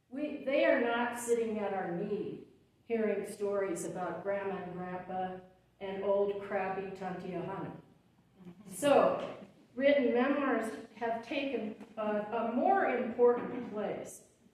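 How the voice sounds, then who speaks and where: With audible room echo, a woman's speech moves at a fairly slow pace. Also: fairly high pitch for a woman, ordinary pitch variation. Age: 70s. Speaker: memoir author. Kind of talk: public talk. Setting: event with audience.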